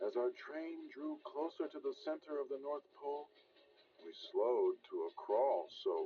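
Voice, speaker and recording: Music runs behind a man as he talks at a fairly slow pace. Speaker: audiobook narrator. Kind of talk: children's storybook reading. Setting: old cassette recording.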